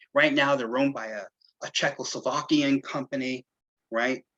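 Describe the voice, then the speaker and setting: A man speaks at a medium pitch in a New York accent, with ordinary pitch variation. The sound is dry and close with no echo, and his tone is bright and sharp. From New York City. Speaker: local historian. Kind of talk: lecture.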